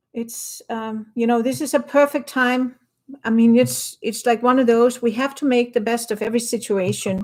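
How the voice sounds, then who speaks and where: With a Danish accent, a woman talks at a moderate pace in a high pitch with fairly even intonation. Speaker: watercolor artist and teacher. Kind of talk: painting demo livestream. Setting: home studio livestream. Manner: casual, relaxed.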